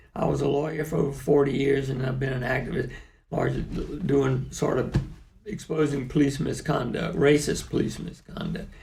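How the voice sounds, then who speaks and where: A man's fairly high voice with an American accent, fairly quick pace, fairly even intonation and audible room echo. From US South. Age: 70s. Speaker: lawyer and activist. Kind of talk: interview.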